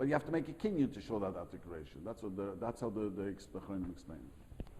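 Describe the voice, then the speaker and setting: A man's fairly low, dark, mellow, somewhat breathy voice at a very fast pace, with very wide pitch swings. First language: not English. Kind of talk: lecture with class discussion. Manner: halting, repetitive.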